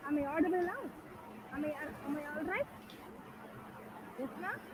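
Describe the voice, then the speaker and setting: A woman with a high pitch talks at a fairly quick pace, with ordinary pitch variation. There is noticeable background noise and audible room echo. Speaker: conference presenter. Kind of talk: conference presentation. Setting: video call.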